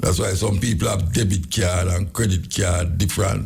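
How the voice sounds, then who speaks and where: Vocal fry marks the very deep, low pitch of this man's voice. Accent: Jamaican. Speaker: dub poet, radio host. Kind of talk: radio talk show monologue.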